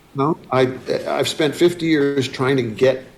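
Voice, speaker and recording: Against noticeable background noise, a man with an American accent speaks at a moderate pace and a medium pitch. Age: 70s. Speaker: folk musician. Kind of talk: interview. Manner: halting; fillers.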